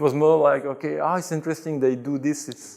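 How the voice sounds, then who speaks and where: A man speaks with a Belgian French accent. His pitch variation is ordinary. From Belgium, Brussels. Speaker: convert to Islam telling his story. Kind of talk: interview. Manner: hesitant, with fillers.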